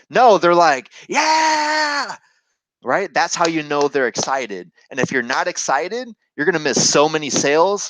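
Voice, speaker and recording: A man talks loudly in a high voice with lively intonation and a fairly slow pace. The sound is dry and close, without echo. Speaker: sales trainer. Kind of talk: tutorial. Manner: animated.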